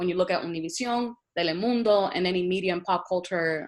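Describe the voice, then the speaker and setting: A woman with a Spanish accent talks very fast at a medium pitch with lively intonation on a very clean recording with a silent background. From Puerto Rico, moved to Boston at 12. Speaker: university administrator. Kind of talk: panel presentation with slides.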